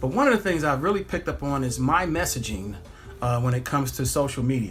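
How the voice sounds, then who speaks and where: With music behind him, a man speaks at a fairly quick pace. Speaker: pilot and social media vlogger. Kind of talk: casual vlog monologue. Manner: fast.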